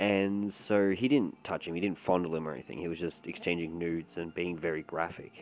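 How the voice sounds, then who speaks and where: With an Australian accent, a man speaks at a fairly quick pace in a very deep, low voice with ordinary pitch variation. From Australia, Melbourne. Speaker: commentary podcaster. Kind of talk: casual commentary.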